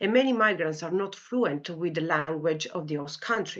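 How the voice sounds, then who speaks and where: A woman with a fairly low pitch speaks at a moderate pace with an Italian accent. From Italy. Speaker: clinical psychology lecturer. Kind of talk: academic talk. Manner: hesitant, many fillers.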